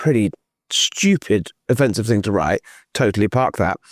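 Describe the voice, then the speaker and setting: On a very clean recording with a silent background and a dry, close sound free of echo, a man speaks fairly quickly in a British accent. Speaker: journalist. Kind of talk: political interview. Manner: halting.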